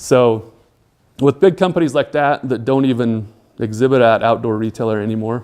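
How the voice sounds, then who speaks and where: A man's medium-pitched voice keeps a moderate pace, its pitch shifting in an ordinary way. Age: 40s. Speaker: business executive, guest speaker. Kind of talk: lecture. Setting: talk to a class. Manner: hesitant, many fillers.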